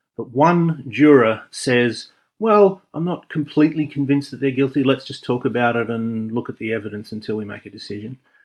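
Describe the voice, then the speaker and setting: A man with a medium pitch and ordinary pitch variation talks at a fairly quick pace with hardly any pauses. His loudness swings a lot against a quiet background. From Australia. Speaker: video essayist. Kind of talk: spoken commentary monologue.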